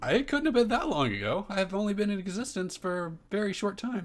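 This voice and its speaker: In a put-on character voice, a man rattles along at a very fast pace with a high pitch. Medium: actual play. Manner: formal, clipped.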